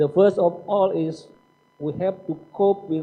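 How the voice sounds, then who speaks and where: Very slowly and with fairly even intonation, a man speaks in a high pitch. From Indonesia. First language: Indonesian. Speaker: seminar speaker. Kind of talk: lecture. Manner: formal.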